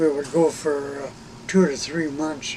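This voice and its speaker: Amid noticeable background noise and audible room echo, a man speaks in a fairly high pitch with monotone, flat intonation. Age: 80s+. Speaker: retired air force reconnaissance officer. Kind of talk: interview. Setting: in an RV. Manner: halting.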